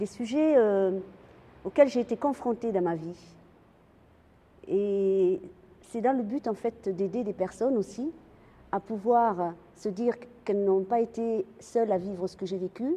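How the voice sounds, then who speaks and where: The woman has a dark, mellow tone at medium pitch with ordinary variation. She speaks at a fairly slow pace, with long, frequent pauses. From France. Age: 60s. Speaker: cancer patient and animal welfare activist. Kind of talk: testimony. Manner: halting, with repetitions and fillers.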